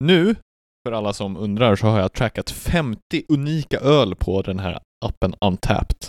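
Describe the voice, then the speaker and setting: An unremarkable speaking voice from a man, fairly low in pitch, with lively intonation at a moderate pace and a dry, close sound with no echo. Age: 20s. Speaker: podcast co-host. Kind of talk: casual chat.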